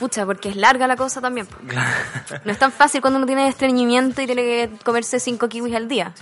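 In a Chilean accent, a woman with a high pitch talks very fast with fairly even intonation while noticeable background noise runs underneath. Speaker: podcast co-host. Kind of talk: casual chat.

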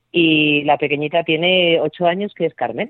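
A woman speaks at a moderate pace with a plain, everyday voice. Her pitch sits fairly low. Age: 50s. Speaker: entrepreneur and mother of twelve. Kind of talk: interview.

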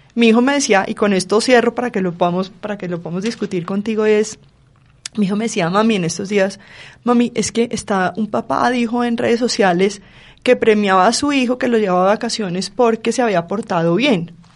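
An ordinary speaking voice from a woman, fairly high in pitch, with ordinary pitch variation and a fairly quick pace. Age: 40s. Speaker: forensic psychologist. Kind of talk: panel discussion.

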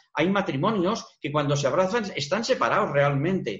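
A man talks with lively intonation. His voice is high-pitched. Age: 60s. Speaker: retired psychologist. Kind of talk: TV interview.

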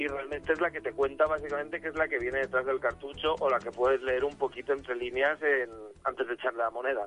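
Very fast speech comes from a man with a fairly high pitch and fairly even intonation. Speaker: youtuber, retro video game commentator. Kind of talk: casual chat. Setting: phone call.

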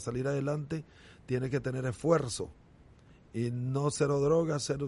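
At a moderate pace, a man speaks with a dark, mellow tone, medium pitch and fairly even intonation. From Nicaragua, Estelí. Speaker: former baseball pitcher. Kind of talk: casual interview.

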